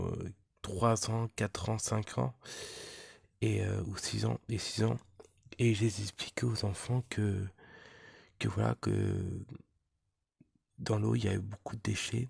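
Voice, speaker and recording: A soft-spoken, somewhat breathy voice with ordinary pitch variation, dry and close with no echo. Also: man. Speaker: magnet fishing vlogger. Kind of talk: casual vlog address. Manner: halting, many repetitions.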